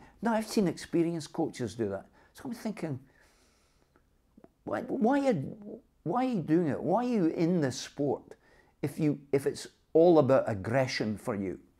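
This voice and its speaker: A man with a Dundee accent, fairly high in pitch, with a dark, mellow tone, very wide pitch swings and long, frequent pauses, against a quiet background. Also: moderate pace. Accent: Scottish (Dundee). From Dundee, Scotland. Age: 70s. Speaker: boxing coach. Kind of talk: interview answer. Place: home room.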